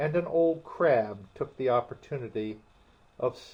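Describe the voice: The speaker is doing plain reading aloud. Nothing more is added to the text.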